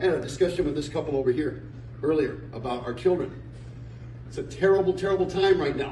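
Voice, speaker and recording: A man talks very fast in an animated tone, his pitch fairly high with ordinary variation. Noticeable background noise and audible room echo fill the recording. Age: 60s. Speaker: community speaker. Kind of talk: speech to audience. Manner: animated, emphatic.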